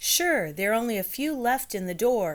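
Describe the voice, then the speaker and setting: Using a put-on character voice, a woman talks at a moderate pace and fairly high pitch with very wide pitch swings. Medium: read story. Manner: brisk, hurried.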